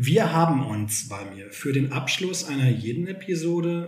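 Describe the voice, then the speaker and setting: Audible room echo surrounds a man speaking at a fairly slow pace with lively intonation. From Germany, Sauerland (Westphalia). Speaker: podcast host and teacher. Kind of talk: casual chat.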